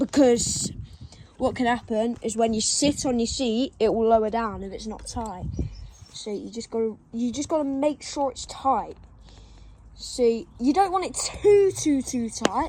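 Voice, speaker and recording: A woman's fairly high voice at a fairly slow pace, with lively intonation, long and frequent pauses, and big swings in loudness. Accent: English. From England. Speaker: BMX rider making a how-to video. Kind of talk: tutorial. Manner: casual.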